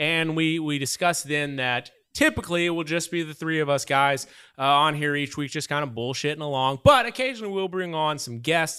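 This man talks at a fairly quick pace in a bright, sharp tone. The recording is very clean, with a silent background. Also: ordinary pitch variation. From Oklahoma (Muskogee). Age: 30s. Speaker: podcast host. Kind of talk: casual chat. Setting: studio.

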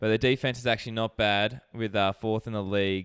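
The speaker is a man with an Australian accent. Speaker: sports betting podcast co-host. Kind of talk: casual chat.

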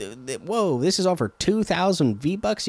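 Pitch swings very widely as a man speaks with an American accent at a moderate pace. The sound is dry and close, with no echo. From Oregon coast, US. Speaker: gaming podcast host. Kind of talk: casual solo podcast monologue. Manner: hesitant, many fillers.

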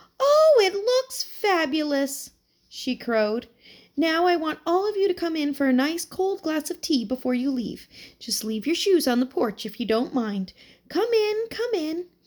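A squeaky, put-on character voice moves at a moderate pace with very wide pitch swings. The recording is very clean with a silent background. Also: woman, extremely high pitch for a woman. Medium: read story. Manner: chirpy, warm.

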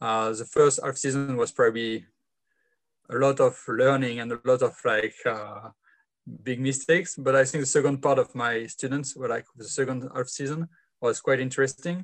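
Taking long, frequent pauses, a man with a French accent speaks at a moderate pace and medium pitch with fairly even intonation. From France. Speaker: footy player and organiser. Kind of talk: casual interview.

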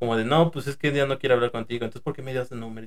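A man is speaking. He has a Mexican accent. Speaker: podcast host, former fast food worker. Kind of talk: casual chat.

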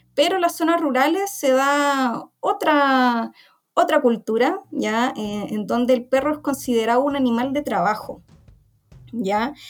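A woman speaks high-pitched at a fairly slow pace, her intonation lively. Music plays in the background. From Chile, Santiago. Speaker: veterinarian and researcher. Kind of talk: interview. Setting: community radio program.

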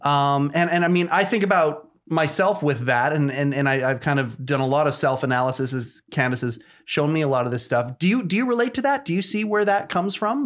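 With a Canadian accent, the speaker moves at a fairly quick pace with hardly any pauses. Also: man, very clean recording, silent background. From Canada. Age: 40s. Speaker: podcast host. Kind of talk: casual interview. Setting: studio. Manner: halting, many fillers and repetitions.

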